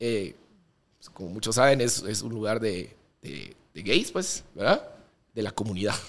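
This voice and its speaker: The man's voice carries vocal fry. He speaks at a fairly slow pace. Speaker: DJ and podcast co-host. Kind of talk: casual chat.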